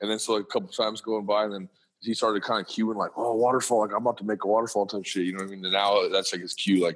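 At a fast pace, a man speaks with a fairly low voice and fairly even intonation.

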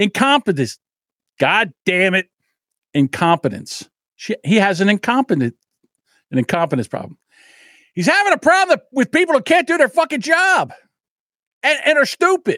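A man speaks at an extremely high pitch in a raised, projected voice, his tone bright, sharp and animated, with very wide pitch swings and big swings in loudness. He keeps a moderate pace broken by long, frequent pauses, and the sound is dry and close with no echo. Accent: New Jersey. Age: 60s. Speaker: podcast host. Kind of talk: casual monologue.

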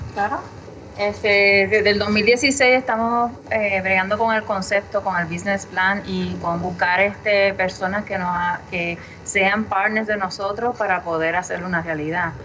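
Against noticeable background noise, a woman at medium pitch speaks at a fairly slow pace with fairly even intonation. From Puerto Rico, Humacao. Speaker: brewery co-founder. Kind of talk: casual interview chat.

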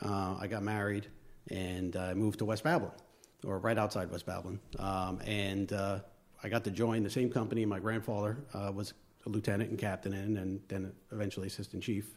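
Speaking at a fairly quick pace, a man with a Long Island accent keeps a fairly low pitch and a monotone, flat intonation. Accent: Long Island New York. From Long Island, New York. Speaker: fire lieutenant and volunteer. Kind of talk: casual interview chat.

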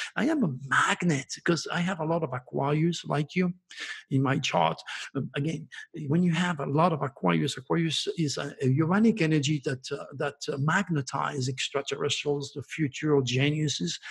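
Somewhat breathy and fairly high, a man's voice proceeds at a moderate pace with ordinary pitch variation. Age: 70s. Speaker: astrologer. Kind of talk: interview.

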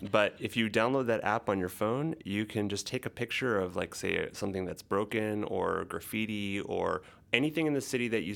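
Fairly quick and fairly low-pitched, a man speaks in a plain, everyday voice with ordinary pitch variation, captured in a very clean recording against a silent background. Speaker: podcast co-host. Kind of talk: casual chat.

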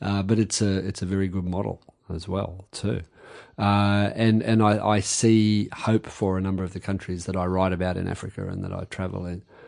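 Fairly quick and flat in a monotone, the speaker has an Australian accent and a quiet background. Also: man, very deep, low pitch for a man. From Australia, Campbelltown on the edge of Sydney. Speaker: novelist and army reservist. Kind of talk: interview conversation. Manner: hesitant, with frequent repetitions.

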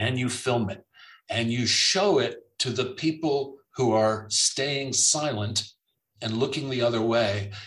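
A man speaks with an American accent at a fairly slow pace, his pitch medium and ordinarily varied. He has an unremarkable speaking voice. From US South (South Florida). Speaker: author and playwright. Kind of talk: interview.

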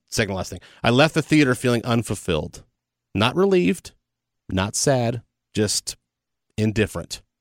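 The sound is dry and close, with no echo. A man talks at a moderate pace and medium pitch in an ordinary speaking voice. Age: 40s. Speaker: film podcast co-host, radio veteran. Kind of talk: casual chat.

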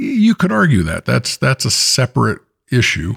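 A man with an American accent at a moderate pace, dry and close with no echo, on a very clean recording with a silent background. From San Francisco Bay Area. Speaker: podcast co-host, former teacher. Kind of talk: casual chat.

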